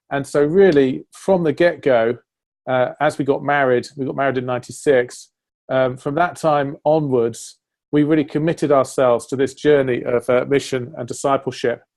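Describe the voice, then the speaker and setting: Moderate in pace, the speech keeps a fairly even intonation. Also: man, fairly high pitch for a man. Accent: English. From northern England, Sheffield. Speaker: church leader. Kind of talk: interview conversation.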